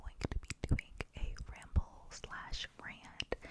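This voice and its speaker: Noticeable background noise fills the clip. Through it, a woman whispers. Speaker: ASMR creator. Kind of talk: ASMR whisper ramble. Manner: whispered; casual, rambling.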